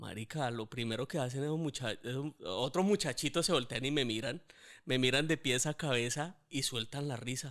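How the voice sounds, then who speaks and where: Over a very clean recording with a silent background, a man speaks at a moderate pace. His pitch is medium, with ordinary pitch variation. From Colombia, Bucaramanga (Santander), moved to Bogotá at 12. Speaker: podcast host. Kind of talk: casual conversation, personal storytelling.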